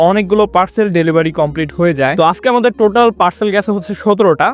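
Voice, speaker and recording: There is noticeable background noise behind a man. He speaks with ordinary pitch variation. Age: 20s. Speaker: vlogger. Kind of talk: vlog narration.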